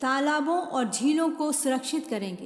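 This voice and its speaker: A woman's voice with lively intonation. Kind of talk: political campaign voice-over.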